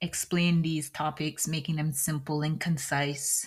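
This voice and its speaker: Her pitch is very deep and low. The woman speaks at a fairly slow pace. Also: very clean recording, silent background. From British Virgin Islands. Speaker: podcast host, tech architect. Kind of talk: solo podcast monologue.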